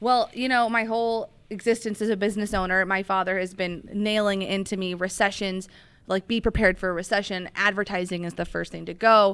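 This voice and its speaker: At a fairly quick pace, a woman of medium pitch talks with hardly any pauses and fairly even intonation. The recording is very clean, with a silent background. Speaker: business owner, social media agency founder. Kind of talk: interview. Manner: fast.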